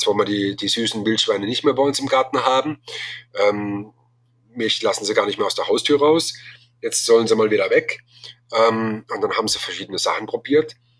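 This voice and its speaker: Pausing often and at length, a man keeps a moderate speaking rate. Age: 40s. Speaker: bowhunting association chairman. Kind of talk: interview. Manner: halting, many filler sounds.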